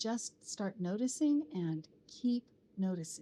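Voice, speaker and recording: A woman's fairly high, somewhat breathy voice with a dark, mellow tone, lively intonation and a very slow pace. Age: 60s. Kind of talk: personal vlog narration.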